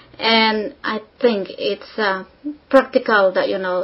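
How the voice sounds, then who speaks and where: Her intonation fairly even, a woman speaks in a somewhat breathy voice. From Philippines. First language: not English (English is third language). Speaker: exam candidate. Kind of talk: speaking exam interview. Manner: hesitant with fillers.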